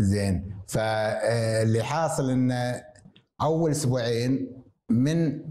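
A man's dark, mellow tone at very even loudness, with audible room echo. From Kuwait, Jleeb Al-Shuyoukh; Kuwait. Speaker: retired surgeon and hospital director; interview guest. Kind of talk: interview. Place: home room. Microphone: lapel.

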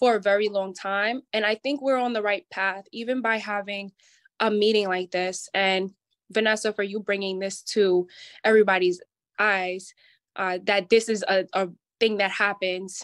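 A woman speaks at a moderate pace with fairly even intonation. The background is quiet. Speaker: event participant. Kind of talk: casual discussion. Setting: video call. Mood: thoughtful, earnest. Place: home room. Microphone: video call.

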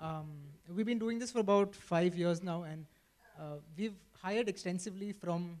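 His high-pitched voice moves at a fairly quick pace as this man keeps a fairly even intonation. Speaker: panelist. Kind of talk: panel discussion answer. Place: stage. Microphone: handheld.

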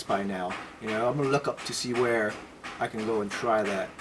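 Light background noise accompanies a man talking at a moderate pace. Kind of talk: interview answer. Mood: relaxed, friendly.

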